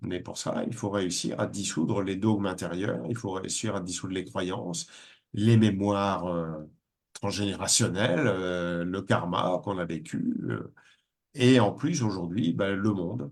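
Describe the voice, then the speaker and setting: At a fairly slow pace, a man speaks with a very deep, low pitch and ordinary pitch variation. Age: 60s. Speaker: spiritual teacher. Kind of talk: webinar talk. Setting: online webinar.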